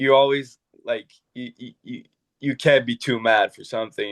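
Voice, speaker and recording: A man talks at a moderate pace in a monotone with flat intonation. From Quebec. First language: French. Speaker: professional hockey goalie. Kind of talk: podcast interview. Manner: halting.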